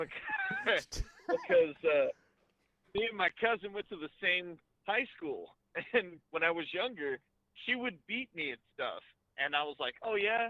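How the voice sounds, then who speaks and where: Long, frequent pauses break up a man's fairly slow speech. His pitch is high and his intonation lively. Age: young. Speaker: truck driver and youtuber. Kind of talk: casual interview.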